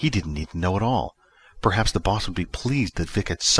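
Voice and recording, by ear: The passage is read aloud in a natural voice.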